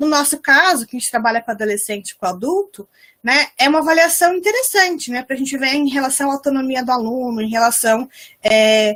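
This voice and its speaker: A woman talks at a fairly quick pace in a high pitch. Her intonation is lively. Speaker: special education researcher and lecturer. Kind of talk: online lecture. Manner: fast.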